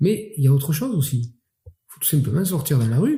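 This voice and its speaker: With a French Catalan accent, a man speaks in a somewhat breathy, fairly high voice with a dark, mellow tone. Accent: southern French Catalan. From Catalonia, southern France. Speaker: mayor. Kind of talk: interview. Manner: hesitant with fillers.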